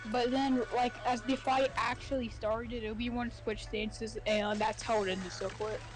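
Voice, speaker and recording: Over music in the background, a woman with a fairly high pitch and fairly even intonation keeps a moderate pace with hardly any pauses. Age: 20s. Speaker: gaming streamer. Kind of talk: casual chat. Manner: halting, many fillers.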